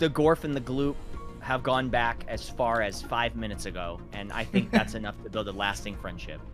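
A man's speech moves along at a moderate speed while music plays behind him. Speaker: multiplayer gamer in group stream.

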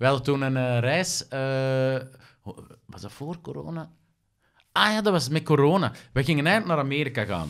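A man with a Flemish accent, moderate pace, lively intonation, big swings in loudness and long, frequent pauses. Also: fairly high pitch for a man, quiet background. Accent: Flemish Dutch. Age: 30s. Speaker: actor, presenter and magician; podcast guest, actor. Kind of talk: casual chat. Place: studio. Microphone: studio mic.

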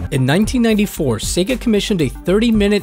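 A man's voice with music in the background. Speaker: documentary narrator. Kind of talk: video documentary narration.

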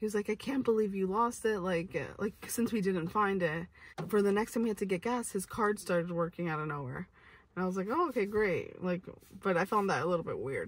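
This woman's voice is somewhat breathy, and the sound is dry with no echo. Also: ordinary pitch variation, fairly quick pace. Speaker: vlogger. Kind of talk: casual storytime vlog chat. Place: car. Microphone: phone near.

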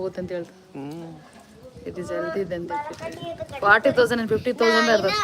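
Through noticeable background noise, a woman of medium pitch speaks with big swings in loudness. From Davangere, Karnataka. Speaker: vlogger. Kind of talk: live stream chat. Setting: outdoors. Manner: animated.

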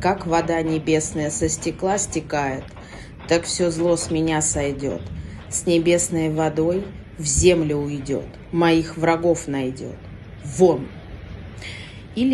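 A woman's fairly low voice at a very slow pace, with ordinary pitch variation, long, frequent pauses and light background noise. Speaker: witch / practitioner of folk magic. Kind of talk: instructional talk to camera with whispered spells. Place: home room. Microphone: phone near.

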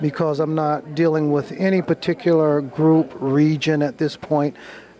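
Amid noticeable background noise, a man talks in a fairly high voice with monotone, flat intonation. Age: 60s. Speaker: sculptor. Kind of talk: interview at art show. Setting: art show in a church.

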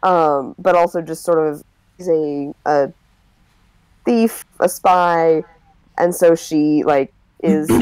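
A woman with an American accent, very slow delivery, long and frequent pauses, and ordinary pitch variation. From US Midwest, Minnesota. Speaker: gamer. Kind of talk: casual chat. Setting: video call.

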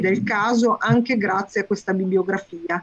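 A somewhat breathy woman speaks at a moderate pace. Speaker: course organizer. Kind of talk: introduction. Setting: video call. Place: home room. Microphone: video call.

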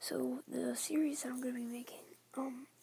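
The speaker whispers quietly at a moderate pace. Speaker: gaming vlogger. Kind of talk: casual vlog talk to camera. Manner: half-whispered, quiet. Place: home room. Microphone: phone near.

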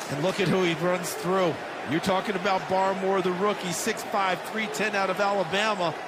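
Amid noticeable background noise, a man speaks at a high pitch and moderate pace in a relaxed tone, with monotone, flat intonation and very even loudness. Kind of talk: live sports commentary. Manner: conversational, analytical, relaxed.

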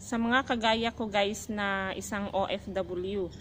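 At a very slow pace, a woman speaks over light background noise. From Philippines. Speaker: domestic helper vlogger. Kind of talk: casual vlog talk. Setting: outdoors. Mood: calm, advising. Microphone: phone near.

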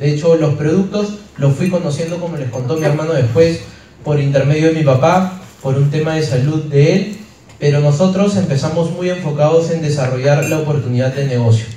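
A man speaks at a fairly quick pace with ordinary pitch variation. Light background noise and audible room echo surround him. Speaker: presenter. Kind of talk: motivational talk. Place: hall.

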